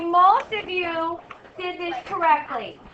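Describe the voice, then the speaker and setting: A woman speaks very slowly in a raised, projected voice at an extremely high pitch. Noticeable background noise and audible room echo fill the recording. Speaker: math teacher. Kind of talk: classroom lesson. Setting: classroom.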